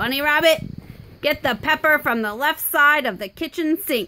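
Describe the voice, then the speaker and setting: Putting on a gruff, growling character voice, a woman speaks at a high pitch and a moderate pace. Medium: read story. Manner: gruff, snarling.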